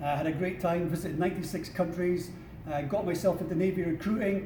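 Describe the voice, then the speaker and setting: A man with a Scottish accent speaks at a high pitch with monotone, flat intonation. Audible room echo and noticeable background noise surround his voice. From Scotland. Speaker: career advisor. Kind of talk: workshop presentation. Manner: informal with many fillers.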